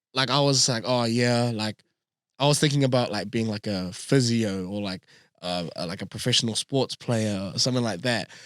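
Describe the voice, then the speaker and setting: A man with a New Zealand accent and a medium pitch speaks at a moderate pace with ordinary pitch variation, the sound dry and close with no echo and the background silent in a very clean recording. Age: 20s. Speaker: radio announcer. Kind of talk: casual interview. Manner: talkative.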